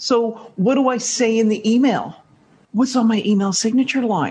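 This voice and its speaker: Moderate pace in an American accent. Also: woman. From Canada. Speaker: networking expert and author. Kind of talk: interview conversation.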